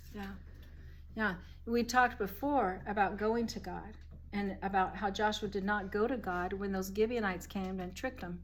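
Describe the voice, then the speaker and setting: Her voice sits at a fairly high pitch with ordinary variation and vocal fry as the woman talks at a moderate pace. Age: 60s. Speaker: Bible study leader. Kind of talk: group Bible study discussion. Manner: conversational.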